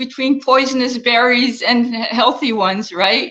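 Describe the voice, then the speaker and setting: A woman's raised, projected voice has a bright, sharp tone. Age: 60s. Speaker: health and wellness coach. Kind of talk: interview.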